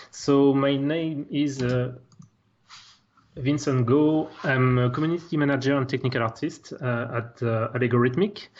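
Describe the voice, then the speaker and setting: A man with a French accent, medium pitch, fairly even intonation and a moderate pace. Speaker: technical artist. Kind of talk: software tutorial.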